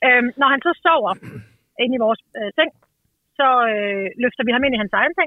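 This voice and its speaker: A woman's high voice with lively intonation, a moderate pace and long, frequent pauses. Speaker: parent seeking advice on child's sleep. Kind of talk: casual conversation about personal problem. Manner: hesitant, many filler sounds; energetic and humorous.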